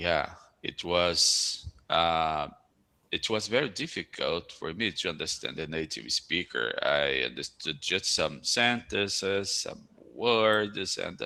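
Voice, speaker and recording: With a Brazilian Portuguese accent, a man speaks at a very deep, low pitch with vocal fry and a bright, sharp tone. His intonation is lively, but his pace is very slow. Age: 40s. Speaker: school principal. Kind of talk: casual chat. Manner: halting.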